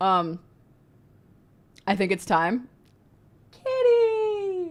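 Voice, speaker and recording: Loud and high-pitched, a woman speaks with very wide swings in pitch. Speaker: streamer. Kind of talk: live reaction stream.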